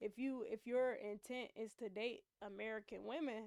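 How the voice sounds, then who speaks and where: A woman talks with a fairly high pitch and fairly even intonation. Her voice sounds dry and close, with no echo. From United States. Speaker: streamer. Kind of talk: reaction commentary.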